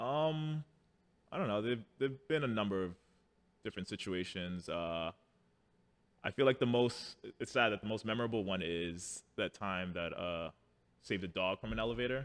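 With a New York accent, a man of fairly low pitch talks at a moderate pace, leaving long, frequent pauses. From New York City (Harlem). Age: 30s. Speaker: firefighter. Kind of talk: casual chat.

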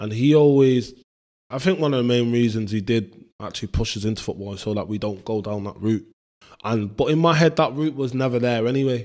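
With a Mancunian accent, a man speaks at a fairly quick pace. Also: medium pitch for a man, ordinary pitch variation. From Manchester, northern England. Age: 20s. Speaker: footballer. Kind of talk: casual interview.

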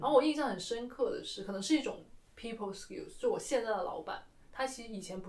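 Her loudness swings widely as a woman races along at a very fast pace, with audible room echo. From mainland China. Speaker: museum worker and podcast co-host. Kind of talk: casual chat.

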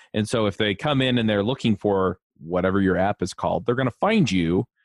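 At a fairly quick pace, a man talks in a normal speaking voice with a fairly low pitch. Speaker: podcast host. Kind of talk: interview, casual chat.

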